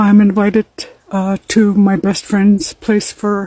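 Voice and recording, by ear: A woman talks at a medium pitch. Her tone is dark and mellow.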